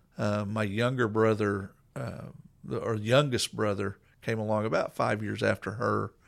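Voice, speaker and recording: The man has an American accent and a fairly low pitch, speaking at a fairly slow pace. The recording is very clean with a silent background. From Coweta, Oklahoma. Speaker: pastor. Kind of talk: personal testimony in casual interview.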